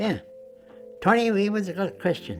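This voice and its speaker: A moderate pace in an American accent, with music in the background. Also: man. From United States. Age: 90s. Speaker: WWII bomber gunner veteran. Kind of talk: interview answer.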